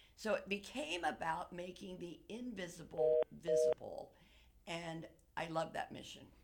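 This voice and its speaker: At a fairly slow pace, a woman uses an ordinary speaking voice with a fairly low pitch, ordinary pitch variation and big swings in loudness. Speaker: actress. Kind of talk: radio interview.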